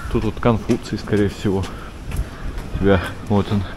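Clear background noise accompanies a man speaking at a moderate pace with little pitch movement. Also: fairly low pitch for a man.

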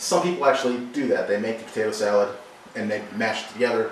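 A man speaks at a very fast pace. Audible room echo and light background noise come through. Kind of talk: cooking tutorial. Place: kitchen. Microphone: camera far.

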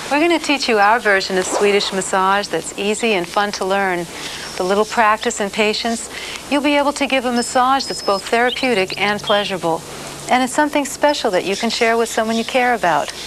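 Noticeable background noise runs behind a woman's voice. She speaks at a fairly quick pace with ordinary pitch variation. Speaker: massage instructor. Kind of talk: tutorial. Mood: warm, friendly, smiling.

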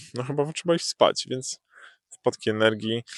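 A man speaks against a quiet background, the sound dry and close with no echo. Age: 20s. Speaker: YouTuber. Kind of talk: casual vlog monologue. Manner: halting, many filler sounds.

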